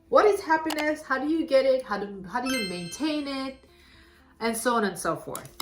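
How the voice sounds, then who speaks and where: Music plays in the background as a woman talks at a moderate pace. Her high voice makes very wide pitch swings. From Armenia. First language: Armenian. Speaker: talk show host. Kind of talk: casual chat.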